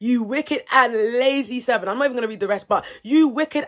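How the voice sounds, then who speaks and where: A woman's fairly high voice with an animated tone and ordinary pitch variation, on a very clean recording with a silent background. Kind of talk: faith-based motivational talk. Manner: loud, shouting when passionate.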